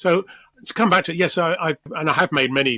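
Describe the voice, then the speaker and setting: Recorded dry and close with no echo, a man talks at a fairly quick pace in a bright, sharp tone with ordinary pitch variation. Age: 60s. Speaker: assistive technology expert. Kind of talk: interview.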